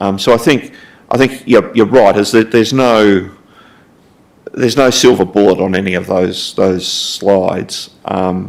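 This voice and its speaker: Long, frequent pauses break up a man's fairly slow speech in an Australian accent. His pitch is fairly low, with ordinary variation. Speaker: council finance staff presenting strategy. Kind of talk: council briefing presentation. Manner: halting, many fillers and repetitions.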